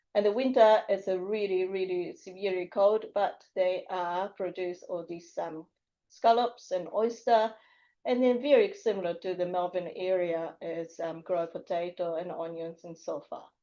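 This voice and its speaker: A woman with a Japanese accent speaks at a moderate pace in a medium pitch with ordinary pitch variation, her dark, mellow tone rising and falling in big swings of loudness over a quiet background. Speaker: high school teacher. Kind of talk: public presentation. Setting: council meeting room. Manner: halting.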